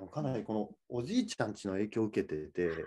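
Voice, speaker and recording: A man talking at a fairly quick pace. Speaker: film director; guest. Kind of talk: interview chat. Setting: video call. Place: home room. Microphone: video call.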